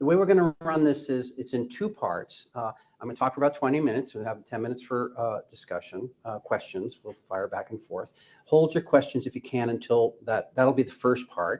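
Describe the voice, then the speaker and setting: Big swings in loudness mark this man's unremarkable speaking voice, medium in pitch with ordinary pitch variation, at a fairly quick pace. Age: 60s. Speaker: physician and drug regulatory consultant giving a seminar. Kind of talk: lecture.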